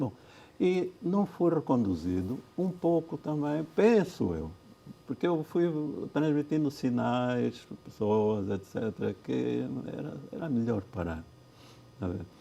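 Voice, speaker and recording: Speaking very slowly, a man leaves long, frequent pauses. His medium-pitched voice swings very widely in pitch. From Angola (Cuito, Bié). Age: 70s. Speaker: former justice minister and lawyer. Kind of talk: TV interview. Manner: halting, many repetitions.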